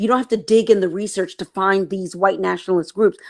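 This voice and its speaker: A woman with an American accent has a normal speaking voice at a medium pitch and ordinary pitch variation. The recording is very clean, with a silent background. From East Texas, US. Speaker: novelist and TV screenwriter. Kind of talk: interview.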